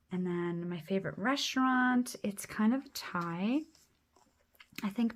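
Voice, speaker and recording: This woman's voice is somewhat breathy, with a medium pitch and ordinary pitch variation. She speaks at a very slow pace. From Quebec, Canada. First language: French. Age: 30s. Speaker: planner YouTuber. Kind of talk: casual plan-with-me chat.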